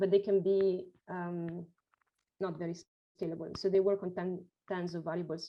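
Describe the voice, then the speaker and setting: A woman speaks at a medium pitch in a flat, monotone delivery with a dark, mellow tone. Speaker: professor. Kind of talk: lecture. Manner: fast. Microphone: video call.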